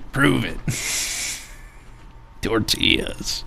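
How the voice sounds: A man puts on a character voice while clear background noise is heard.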